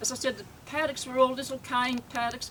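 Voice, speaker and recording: Over noticeable background noise, a woman with an Australian accent speaks in a high pitch with monotone, flat intonation. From Australia, north Queensland. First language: Yugoslav (Croatian). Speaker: family elder speaking at a reunion. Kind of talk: reminiscing speech. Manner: halting.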